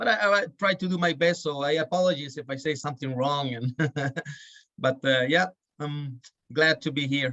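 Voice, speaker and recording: A man with a fairly high pitch and ordinary pitch variation. He leaves long, frequent pauses. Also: moderate pace. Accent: Chilean. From Chile. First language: Spanish. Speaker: birding guide. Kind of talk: podcast interview. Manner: halting.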